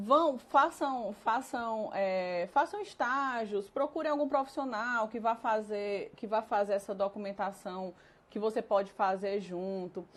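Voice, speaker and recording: Her voice an unremarkable speaking voice, a woman talks at a fairly high pitch and fairly slow pace, with ordinary pitch variation and hardly any pauses. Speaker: nutritionist and consultant. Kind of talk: live-streamed lecture. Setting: live stream.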